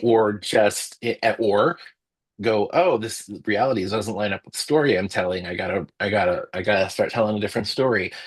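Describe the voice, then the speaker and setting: Fairly quick delivery in a plain, everyday voice, pitch rising and falling in an ordinary way. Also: man, fairly low pitch for a man. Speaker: storyteller and book editor. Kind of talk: interview answer.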